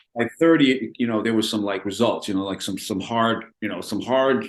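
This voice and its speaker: A man has an ordinary speaking voice, fairly low in pitch, with ordinary pitch variation. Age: 60s. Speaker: personal trainer. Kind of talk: casual chat.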